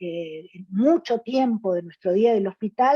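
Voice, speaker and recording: A woman's dark, mellow tone moves through very wide pitch swings in a dry, close sound with no echo. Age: 60s. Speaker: gynecologist. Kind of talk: panel presentation. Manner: halting, many fillers.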